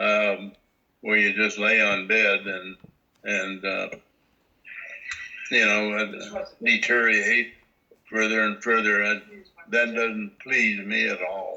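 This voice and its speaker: A man with an American accent speaks at a very slow pace. He leaves long, frequent pauses. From Montana. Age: 90s. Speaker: elderly relative interviewed. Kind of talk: interview. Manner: halting.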